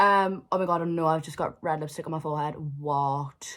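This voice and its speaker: On a very clean recording with a silent background, a woman with a Geordie accent speaks in an animated tone at a fairly low pitch. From northern England, Newcastle. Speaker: vlogger. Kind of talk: storytime vlog. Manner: fast, animated.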